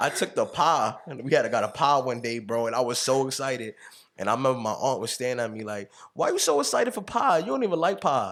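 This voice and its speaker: Speaking very fast with ordinary pitch variation, a man is captured on a very clean recording with a silent background. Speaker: podcast host. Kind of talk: casual chat.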